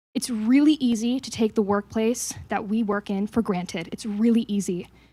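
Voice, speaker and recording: At a moderate pace, a woman with a Canadian accent speaks in a dark, mellow, somewhat breathy tone at a fairly high pitch with fairly even intonation, in a very clean recording with a silent background. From Canada (Toronto). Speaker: think tank staff member. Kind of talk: staff meeting remarks.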